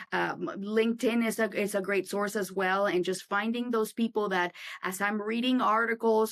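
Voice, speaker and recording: On a very clean recording with a silent background, a woman with a non-native accent speaks at a moderate pace in a fairly high pitch with fairly even intonation. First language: not English. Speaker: insurance agency owner. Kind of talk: casual interview. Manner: halting, many fillers and restarts.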